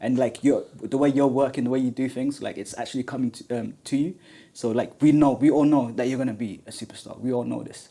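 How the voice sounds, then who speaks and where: A man speaks very fast with a London accent, in a medium-pitched voice with fairly even intonation. His tone is dark and mellow, and the recording is very clean with a silent background. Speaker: podcast host. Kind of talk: podcast interview. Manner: halting, many fillers.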